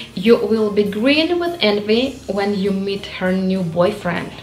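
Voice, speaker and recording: A woman talks at a very slow pace. Faint music plays in the background. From Ukraine. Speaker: English learner. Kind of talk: casual talk to camera. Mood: warm, friendly. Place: home room.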